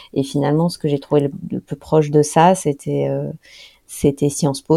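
A woman speaks at a moderate pace with a very deep, low pitch. Her tone is dark and mellow, with vocal fry. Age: 30s. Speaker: author and environmental expert. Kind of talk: interview. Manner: halting, many repetitions and fillers.

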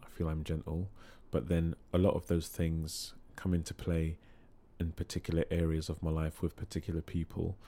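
Calm, dark and mellow speech in a London accent, flat and monotone at a moderate pace. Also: man, very deep, low pitch for a man. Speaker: singing therapist and choir leader. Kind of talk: casual interview chat. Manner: calm, sometimes humorous.

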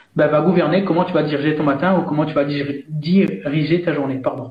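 A man speaks at moderate speed with ordinary rises and falls in pitch, while noticeable background noise and audible room echo fill the recording. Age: 30s. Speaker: coach and author. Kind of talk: interview.

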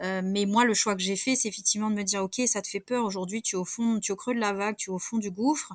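Very fast pace and fairly even intonation from a woman. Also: medium pitch for a woman, hardly any pauses. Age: 40s. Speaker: management coach, former insurance branch manager. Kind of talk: interview.

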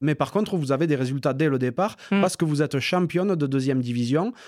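A man talks at a very fast pace with lively intonation and very even loudness, his pitch fairly high. The recording is very clean, with a silent background. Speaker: podcast host. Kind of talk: casual interview chat.

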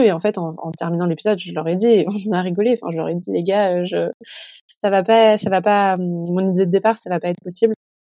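A woman talks at a fairly quick pace. Her tone is dark and mellow, her intonation fairly even. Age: 20s. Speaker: podcast host. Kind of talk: casual interview; solo monologue.

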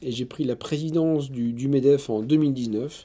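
A man's fairly high, dark and mellow voice, fairly slow, with ordinary pitch variation. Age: 40s. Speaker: business owner. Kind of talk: interview. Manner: halting.

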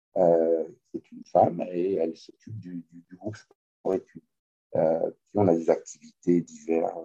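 The speech comes at a fairly slow pace with big swings in loudness. The sound is dry and close, with no echo. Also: man. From France. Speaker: kayak coach. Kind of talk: interview. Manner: halting. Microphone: poor audio quality.

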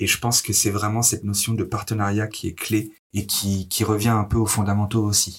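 A man's somewhat breathy, fairly low voice, monotone and flat, at a moderate pace and very even loudness. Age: 30s. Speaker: HR business partner. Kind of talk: interview. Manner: hesitant with fillers.

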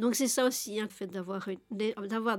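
A woman's very slow delivery, her intonation fairly even. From Belgium. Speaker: interviewee on social welfare. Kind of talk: testimony. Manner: halting.

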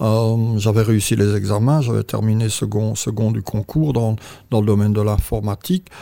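A man speaks with a fairly low pitch and a fairly even intonation. His pace is moderate and his loudness stays very even. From Belgium. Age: 60s. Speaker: entrepreneur. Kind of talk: interview. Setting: hotel interview room. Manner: halting.

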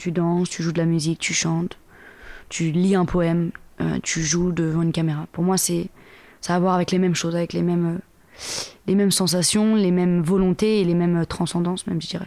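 A woman's dark, mellow, fairly low voice, monotone and flat, at a fairly quick pace. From Paris suburbs, Seine-et-Marne, France. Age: 30s. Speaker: singer and performer. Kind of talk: casual interview. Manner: halting, many repetitions.

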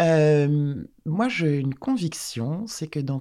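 Here a woman speaks in a very deep, low pitch with a dark, mellow tone. Her intonation is lively, and the recording is very clean with a silent background. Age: 40s. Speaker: bank communications director. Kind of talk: interview. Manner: halting.

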